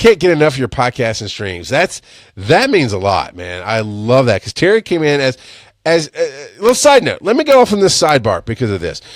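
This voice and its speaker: Loud and animated, the voice moves at a fairly quick pace with very wide pitch swings, sounding dry and close with no echo on a very clean recording with a silent background. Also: man, fairly high pitch for a man. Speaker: podcast host. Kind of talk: live-stream monologue. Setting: Facebook live stream.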